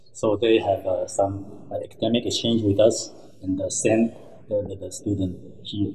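A man speaks with a fairly low pitch and a somewhat breathy voice, in a monotone, flat intonation. His pace is fairly slow with long, frequent pauses, over light background noise. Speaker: professor. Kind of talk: interview. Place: office.

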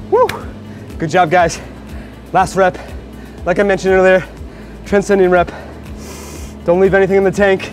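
Fairly quick, monotone delivery from a man with a high pitch, flat intonation and faint music in the background. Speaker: fitness coach. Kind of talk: workout instruction. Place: gym.

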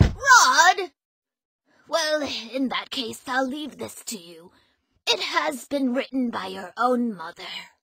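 Using a put-on character voice, a woman speaks slowly at a high pitch with big pitch swings, a bright, sharp tone, vocal fry and a slightly husky edge.

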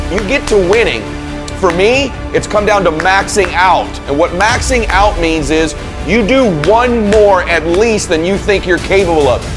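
Moderate pace and ordinary pitch variation, with music in the background. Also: man, high pitch for a man. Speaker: motivational speaker. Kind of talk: motivational speech.

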